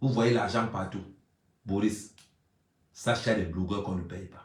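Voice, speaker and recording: A man speaks loud and animated at a moderate pace, with audible room echo. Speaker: YouTube blogger. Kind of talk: live stream monologue.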